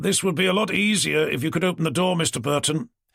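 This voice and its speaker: Putting on a raspy character voice, a man rattles along at a very fast pace with high pitch and very even loudness. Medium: read story. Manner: dry, blunt.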